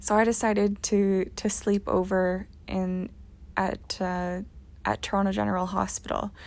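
A woman speaks with a Canadian accent at a fairly slow pace, her medium-pitched delivery monotone and flat. The recording is very clean, with a silent background. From rural Ontario, Canada. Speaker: podcast host. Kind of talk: personal monologue.

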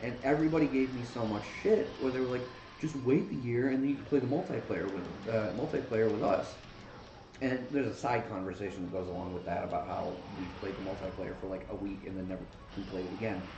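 A man at medium pitch, very fast pace and lively intonation, with noticeable background noise and audible room echo. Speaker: gaming podcast co-host. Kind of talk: casual chat. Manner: animated.

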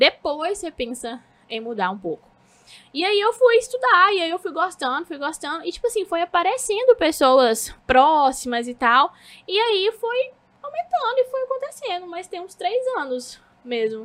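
A woman with an extremely high pitch talks at a moderate pace, with very wide pitch swings and big swings in loudness. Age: 20s. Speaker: social media manager. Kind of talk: casual interview chat.

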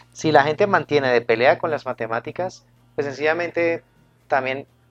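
A man with a normal speaking voice has a fairly high pitch and fairly even intonation. The sound is dry and close, with no echo. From Colombia, Cali. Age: 40s. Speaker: math teacher and YouTube educator. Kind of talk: radio interview.

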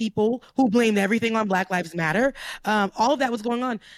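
This is an ordinary speaking voice with an American accent and ordinary pitch variation. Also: woman. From US South, Florida. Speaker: commentator. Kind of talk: casual chat.

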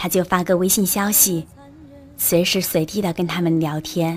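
Music plays behind a woman with a fairly low pitch. She speaks at a moderate pace in a monotone, flat delivery. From Guangzhou, southern China. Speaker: amateur narrator, listener fan. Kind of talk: reading aloud.

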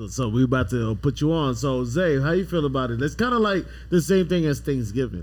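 This is a plain, everyday voice. A man speaks in an American accent at a fairly quick pace. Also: medium pitch for a man, lively intonation. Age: 30s. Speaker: podcast host. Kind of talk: casual chat.

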